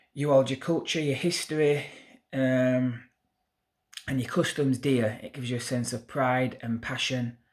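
Speaking at a fairly slow pace in a Yorkshire accent, a man keeps a monotone, flat intonation over a quiet background. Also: medium pitch for a man. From Yorkshire, northern England. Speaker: YouTuber, political commentator; commentator. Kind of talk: opinion monologue to camera. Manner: hesitant fillers. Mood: indignant, earnest. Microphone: phone near.

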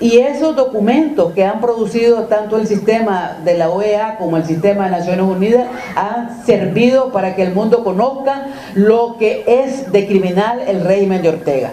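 Over light background noise and with audible room echo, a woman talks at a fairly high pitch. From Nicaragua. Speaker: activist; civic group spokesperson. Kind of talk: interview. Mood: critical, earnest. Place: meeting room. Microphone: handheld.

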